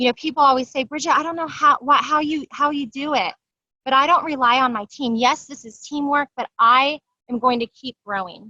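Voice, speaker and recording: A woman's raised, projected voice, high in pitch and bright and sharp in tone, at a fairly quick pace with big swings in loudness, in a dry, close sound with no echo. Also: ordinary pitch variation. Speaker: network marketing seller. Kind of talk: live video training. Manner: fast.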